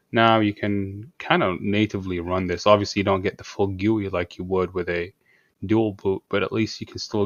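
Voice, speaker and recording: Soft-spoken and fairly low in pitch, a man talks in a monotone, flat intonation. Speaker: tech tutorial maker. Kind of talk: tutorial. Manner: soft-spoken, talking quietly.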